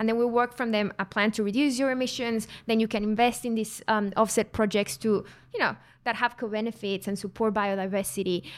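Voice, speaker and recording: On a very clean recording with a silent background, a woman with a Mexican accent speaks at a fairly high pitch. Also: fairly even intonation. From Mexico. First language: Spanish. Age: 20s. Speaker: carbon consultant. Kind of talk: casual interview. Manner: laughs often.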